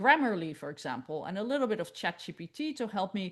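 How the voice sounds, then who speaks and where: In a quiet setting, a woman with a medium-pitched voice talks at a moderate pace. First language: not English. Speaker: research integrity expert. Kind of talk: conference presentation.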